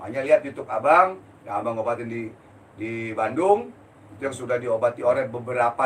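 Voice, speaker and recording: The man's voice is somewhat breathy. He moves through his words at a fairly quick pace. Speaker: spiritual healer. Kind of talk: live-stream Q&A. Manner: blunt, forceful; heated.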